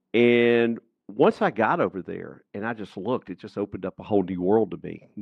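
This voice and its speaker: A man speaks with a Southern US accent at a fairly low pitch. His pace is moderate, with ordinary pitch variation. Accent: Southern US (Georgia). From US South, rural Georgia. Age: 60s. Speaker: entrepreneur and author. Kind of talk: podcast interview.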